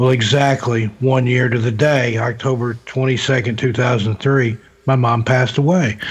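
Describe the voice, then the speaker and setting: A man talks at a fairly slow pace and a medium pitch, with fairly even intonation and very even loudness. Background noise is noticeable. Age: 50s. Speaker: author and paranormal investigator. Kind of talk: casual chat.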